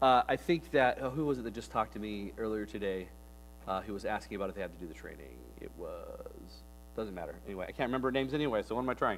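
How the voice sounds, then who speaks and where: Loudness rises and falls sharply as a man speaks very fast. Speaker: children's ministry leader. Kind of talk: training presentation.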